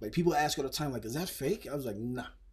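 Against a quiet background, a man talks at a medium pitch, somewhat breathy. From Phoenix, Arizona; Arizona. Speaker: rapper; podcast guest. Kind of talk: casual interview. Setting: studio. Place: studio. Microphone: studio mic.

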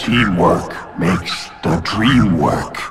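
In a raspy, put-on character voice, a man speaks at a very deep, low pitch. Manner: halting.

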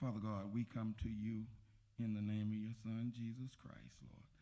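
A man with a fairly low pitch and a dark, mellow tone speaks at a moderate pace. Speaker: church deacon. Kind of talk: prayer. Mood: reverent, earnest. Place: church. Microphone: handheld.

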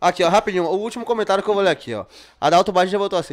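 A man is speaking. The background is quiet. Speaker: podcast host. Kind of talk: casual podcast chat. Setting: studio. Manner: informal, profane. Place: studio. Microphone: studio mic.

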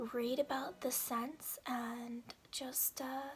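A woman whispers over light background noise. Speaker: beauty haul vlogger. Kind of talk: ASMR product haul chat. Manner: whispered. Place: home room.

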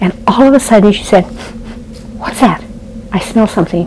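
Ordinary pitch variation in a woman's voice, with light background noise. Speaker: storyteller. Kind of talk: devotional storytelling. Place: home room. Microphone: lapel.

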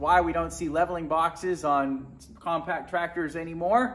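Light background noise sits behind a man speaking at a high pitch. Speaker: tractor owner. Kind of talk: tutorial. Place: garage.

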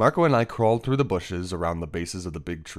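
Lively intonation marks a natural reading voice.

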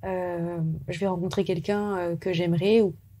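On a very clean recording with a silent background, a woman speaks at a fairly slow pace. Her voice sits at a medium pitch with a dark, mellow tone. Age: 20s. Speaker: screenwriter and director. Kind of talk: interview testimony.

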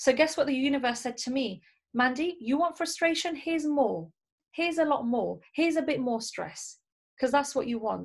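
Over a quiet background, a woman talks at a high pitch. Her pace is moderate and her pitch variation ordinary. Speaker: network marketing team leader and trainer; trainer. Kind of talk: motivational training talk. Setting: video call. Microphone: webcam.

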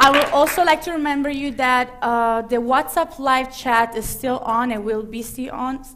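The speaker talks at a fairly slow pace in an Italian accent. The pitch varies in an ordinary way. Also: woman. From Italy. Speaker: talk show host. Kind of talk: live talk show. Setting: stage with audience. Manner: animated. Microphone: headset.

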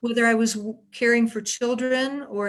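A woman speaks in a monotone, flat intonation on a very clean recording with a silent background. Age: 60s. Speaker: retired teacher and home care worker. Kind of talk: prepared question.

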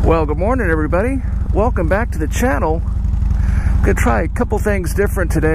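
The recording is dry with no echo but carries noticeable background noise. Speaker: motorcycle vlogger. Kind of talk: casual vlog chat. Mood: relaxed, cheerful. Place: street. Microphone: helmet.

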